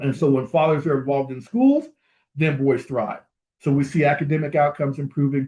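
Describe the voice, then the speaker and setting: With a dark, mellow tone and a somewhat breathy quality, a man speaks at a fairly quick pace and fairly high pitch, his intonation fairly even, against a quiet background. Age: 60s. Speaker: fatherhood program leader, conference speaker. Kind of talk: conference keynote presentation.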